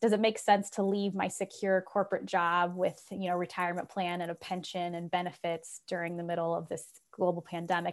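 In a US Midwestern accent, a woman speaks at a fairly quick pace with a fairly low pitch and ordinary pitch variation. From Ohio, US Midwest. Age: 40s. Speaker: author and leadership speaker. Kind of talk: interview.

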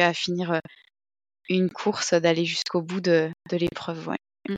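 A woman's fairly low-pitched voice, monotone and flat, at a fairly slow pace, dry and close with no echo. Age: 30s. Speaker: amateur trail runner. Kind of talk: casual interview. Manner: hesitant, many fillers.

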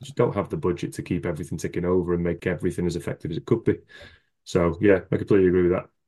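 Against a quiet background, a man with a very deep, low pitch and a dark, mellow tone talks very fast, with big swings in loudness. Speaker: former teacher, education content writer. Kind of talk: casual interview chat. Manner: monotone, less animated.

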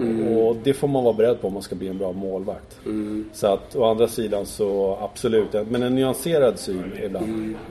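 Against noticeable background noise, a man with a fairly low pitch and fairly even intonation speaks at a moderate pace with hardly any pauses. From Stockholm, Sweden. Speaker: former ice hockey goalkeeper and TV goalie expert. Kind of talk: casual interview. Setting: hotel room. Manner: hesitant, many fillers.

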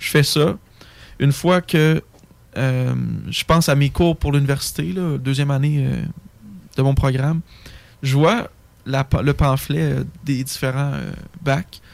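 A man with a fairly high pitch speaks at a very slow pace, leaving long, frequent pauses, with ordinary pitch variation. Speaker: forestry engineering student. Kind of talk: casual chat.

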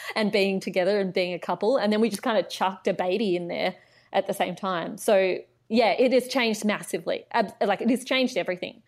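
A woman with an Australian accent at a medium pitch, very fast pace and fairly even intonation, on a very clean recording with a silent background. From Australia, Canberra. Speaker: writer and commentator, former political staffer. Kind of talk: casual interview chat.

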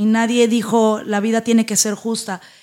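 A woman's delivery moves at a moderate pace. Background noise is noticeable throughout. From Mexico, northern Veracruz (Tamiagua). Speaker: entrepreneur and motivational speaker. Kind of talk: interview.

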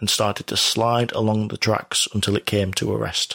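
Over a very clean recording with a silent background, a man with a British accent speaks at a moderate pace and medium pitch. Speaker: true-crime podcast host. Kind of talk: true-crime documentary narration. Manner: measured, steady narrator; formal, detail-heavy delivery.

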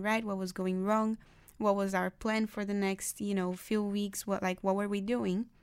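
The recording is very clean, with a silent background. A woman of medium pitch speaks at a moderate pace in a monotone, flat intonation. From Brazil. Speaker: university student. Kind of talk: casual interview. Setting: studio.

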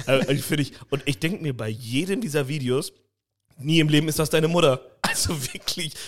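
With an unremarkable speaking voice, a man speaks at a fairly high pitch with ordinary variation. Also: moderate pace. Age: 30s. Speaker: podcast co-host. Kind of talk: casual chat.

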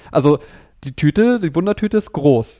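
Male speech of dark, mellow tone, fairly quick, with ordinary pitch variation. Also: dry, close sound with no echo. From Germany, Kassel (northern Hesse). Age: 30s. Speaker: patient advocate and event organizer. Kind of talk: interview.

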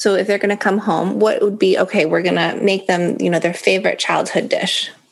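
A woman talks fairly quickly at a medium pitch with ordinary pitch variation. There is noticeable background noise. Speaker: podcast host. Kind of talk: casual interview.

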